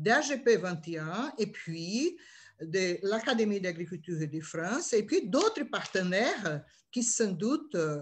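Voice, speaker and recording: Somewhat breathy, a woman speaks very slowly with very wide pitch swings. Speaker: session chair. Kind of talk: closing remarks. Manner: halting.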